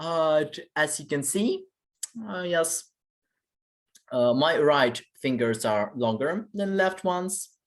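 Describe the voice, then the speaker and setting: Someone with a Ukrainian accent speaks at a very slow pace. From Ukraine. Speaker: vlogger. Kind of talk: personal monologue vlog. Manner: halting, many fillers.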